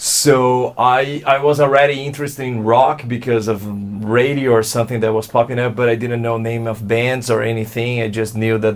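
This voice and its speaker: Over music in the background, a man speaks at a moderate pace and medium pitch with a monotone, flat delivery. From Brazil, São Paulo state (Santo André). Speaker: alt-rock musician. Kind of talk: interview. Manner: halting, many repeated words.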